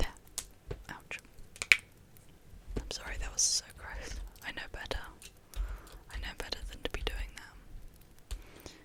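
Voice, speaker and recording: Whispering at a fairly slow pace with long, frequent pauses and noticeable background noise. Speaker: ASMR gaming creator. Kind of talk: whispered ASMR gameplay commentary. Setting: home USB microphone. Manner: whispered.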